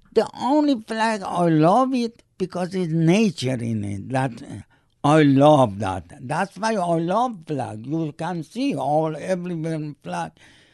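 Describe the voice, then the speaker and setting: A man speaks very slowly at a fairly high pitch with hardly any pauses. His pitch swings very widely against a quiet background. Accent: Persian. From Iran. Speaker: immigrant father. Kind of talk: oral history interview. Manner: halting.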